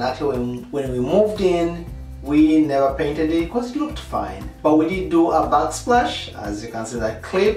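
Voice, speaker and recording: Faint music plays in the background. Audible room echo is present. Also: man. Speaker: home DIY vlogger. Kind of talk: casual tutorial vlog. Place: bathroom. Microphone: camera far.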